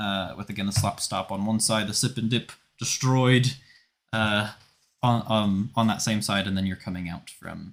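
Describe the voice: Against a quiet background, someone reads aloud plainly.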